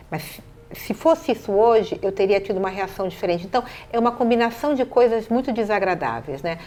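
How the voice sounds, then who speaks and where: With lively intonation, a woman speaks at a fairly quick clip. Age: 60s. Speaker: city councillor. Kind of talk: interview.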